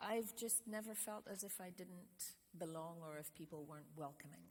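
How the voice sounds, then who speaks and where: Lively intonation marks this woman's medium-pitched voice, which has vocal fry. She talks at a moderate pace. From Scotland. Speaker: trip leader. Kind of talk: interview answer.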